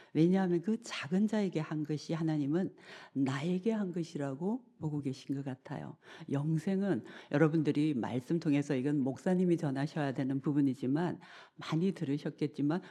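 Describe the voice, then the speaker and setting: A moderate pace against a quiet background. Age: 60s. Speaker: professor, guest lay speaker. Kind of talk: sermon-style lecture in church. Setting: church service.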